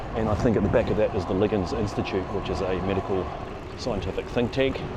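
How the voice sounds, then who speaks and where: A man with a New Zealand accent speaks very fast at a fairly low pitch with fairly even intonation, amid noticeable background noise and audible room echo. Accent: New Zealand (Kiwi). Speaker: cycling vlogger. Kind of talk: ride-along narration. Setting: outdoors on a bike. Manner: casual, conversational.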